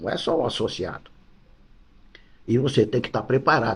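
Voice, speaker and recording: With ordinary pitch variation, this man's voice comes out somewhat breathy. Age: 80s+. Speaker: football club vice-president. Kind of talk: interview. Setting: club office.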